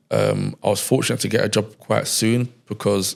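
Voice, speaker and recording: With a London accent, a man speaks at a moderate pace and a fairly low pitch. His intonation is monotone and flat, with vocal fry. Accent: London English (multicultural London). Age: 30s. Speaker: entrepreneur, media company founder. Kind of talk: casual interview conversation.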